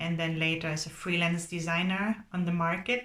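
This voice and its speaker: Speaking in a German accent, a woman has a fairly low pitch and a moderate pace. Her tone is bright and sharp, her intonation monotone and flat. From Germany. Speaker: graphic designer. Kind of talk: recorded talk to students. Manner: halting.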